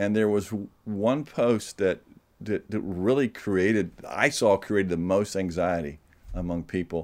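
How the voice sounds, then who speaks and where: With an American accent, a man talks at a fairly low pitch and fairly slow pace with ordinary pitch variation. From US South, Georgia. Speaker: novelist and publisher. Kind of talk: interview. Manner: halting.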